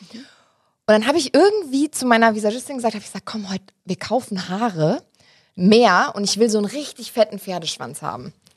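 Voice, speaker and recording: A somewhat breathy woman, animated and fairly high-pitched, with lively intonation, a fairly quick pace and big swings in loudness, in a dry, close sound with no echo. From Germany, Hesse (Wiesbaden). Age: 20s. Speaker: TV presenter. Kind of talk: casual interview chat.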